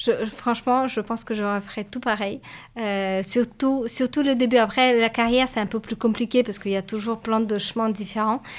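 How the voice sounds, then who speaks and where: At a moderate pace, a woman with a fairly high pitch talks in a monotone, flat intonation. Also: very clean recording, silent background. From Latvia, Russian-speaking community of Riga. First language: Russian (speaking French). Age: 30s. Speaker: business school graduate, startup employee. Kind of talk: interview. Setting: livestream video.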